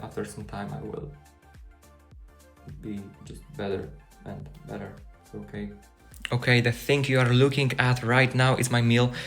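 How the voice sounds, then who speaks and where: With music behind him, a man with a non-native accent speaks at medium pitch and a moderate pace, his intonation lively, his loudness swinging widely, and his speech broken by long, frequent pauses. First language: not English. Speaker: student. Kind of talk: casual vlog talk to camera.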